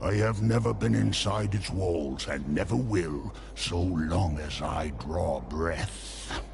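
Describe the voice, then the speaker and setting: Over loud background noise, a man in a put-on character voice with a very deep, low pitch talks at a fairly slow pace with hardly any pauses. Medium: video game. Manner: dark, knowing.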